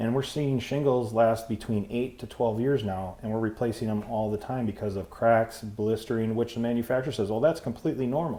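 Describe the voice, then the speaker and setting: A medium-pitched man talks at a fairly quick pace. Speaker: roofing contractor, business owner. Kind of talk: casual interview. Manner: loud.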